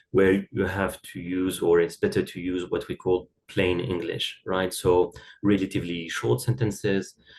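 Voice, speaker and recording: Delivered at a moderate pace, the speech keeps fairly even intonation. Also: man, very deep, low pitch for a man. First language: not English (English is third language). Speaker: academic writing expert. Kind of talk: podcast interview. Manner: halting, many fillers and repeated words.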